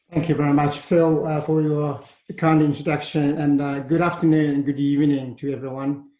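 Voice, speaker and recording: With audible room echo around him, a man speaks at a fairly quick pace in a fairly high, monotone voice whose tone is dark and mellow. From China, Shandong province. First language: Chinese. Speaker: university leader. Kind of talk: presentation. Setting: webinar.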